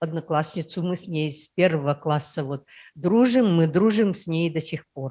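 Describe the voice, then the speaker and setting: A woman speaks in a fairly low, dark, mellow voice at a fairly slow pace. Her pitch varies in an ordinary way, while her loudness swings widely. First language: Udmurt (speaking Russian). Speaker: workshop participant. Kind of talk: personal story in group discussion.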